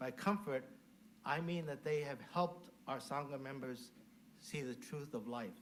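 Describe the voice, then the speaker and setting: There is audible room echo as a man with an American accent talks at a moderate pace. His pitch is fairly high and varies in an ordinary way. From US West Coast (Mountain View, California). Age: 70s. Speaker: Buddhist minister. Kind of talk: dharma talk. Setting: temple service, in person and virtual.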